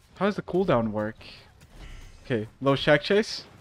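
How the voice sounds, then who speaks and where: With noticeable background noise behind him, a man speaks at a moderate pace in a fairly high pitch that swings very widely. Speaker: gaming streamer. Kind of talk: gameplay commentary. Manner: animated.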